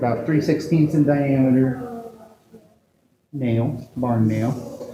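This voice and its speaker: A man's medium-pitched voice at a very slow pace, with audible room echo. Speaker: sideshow performer. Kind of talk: live stage performance. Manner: animated.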